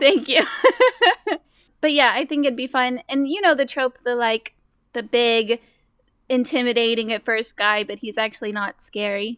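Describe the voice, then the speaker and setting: Recorded dry and close with no echo, a woman with a high voice and ordinary pitch variation speaks at a moderate pace with long, frequent pauses. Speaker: game player discussing a character.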